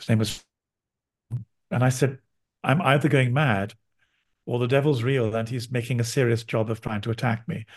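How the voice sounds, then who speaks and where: A man speaks at a moderate pace in a medium-pitched, somewhat breathy voice, his intonation fairly even, with long, frequent pauses against a quiet background. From London, England. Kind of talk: interview conversation.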